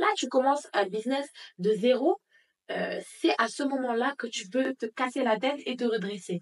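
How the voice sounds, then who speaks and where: Her high pitch and lively intonation mark this woman's speech. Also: moderate pace. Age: 20s. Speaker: pastry business owner. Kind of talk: interview.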